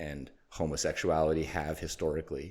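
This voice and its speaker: Against a silent background in a very clean recording, a man talks at a moderate pace with a very deep, low pitch. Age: 40s. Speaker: podcast host. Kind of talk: interview sign-off. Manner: halting.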